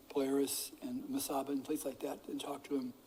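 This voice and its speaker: A male speaker with ordinary pitch variation. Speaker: club president. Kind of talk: meeting address. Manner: halting.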